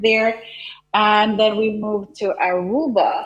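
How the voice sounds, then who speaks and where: A woman speaks in a Jamaican accent with music in the background. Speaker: content creator and business coach. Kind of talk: TV interview.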